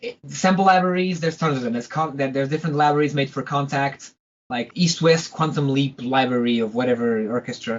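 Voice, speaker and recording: This speaker has a Portuguese accent and talks at a very fast pace. The pitch varies in an ordinary way. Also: man, fairly high pitch for a man. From Portugal. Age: 20s. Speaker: composer. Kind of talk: interview. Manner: halting.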